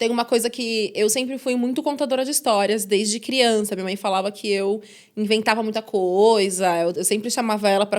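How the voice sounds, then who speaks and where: An unremarkable speaking voice from a woman, fairly high in pitch and fairly quick in pace. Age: 30s. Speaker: journalist and podcast host. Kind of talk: interview. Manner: casual, conversational.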